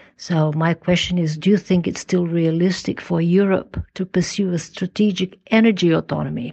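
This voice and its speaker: With a Portuguese accent, a woman speaks at a fairly low pitch and a moderate pace. Her voice is somewhat breathy, and her intonation fairly even. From Portugal. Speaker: former government minister, think tank council member. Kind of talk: recorded listener question.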